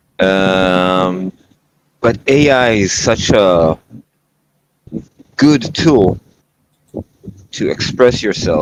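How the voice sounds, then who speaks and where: A man with a non-native accent speaks in a very deep, low voice. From Israel. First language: not English. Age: 30s. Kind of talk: casual chat. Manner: halting.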